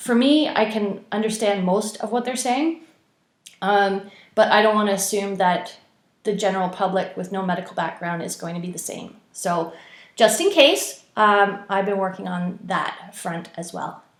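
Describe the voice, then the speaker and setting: This woman talks fairly slowly, and audible room echo follows her words. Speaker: former ICU nurse, video blogger. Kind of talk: casual video commentary. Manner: hesitant, many fillers.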